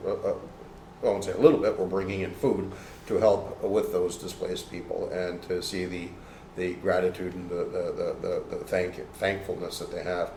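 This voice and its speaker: A man with a Canadian accent speaks at a fairly quick pace, with audible room echo and noticeable background noise. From Toronto, Canada. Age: 60s. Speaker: martial arts instructor and aid worker. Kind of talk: interview conversation. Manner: halting, many fillers and repeats.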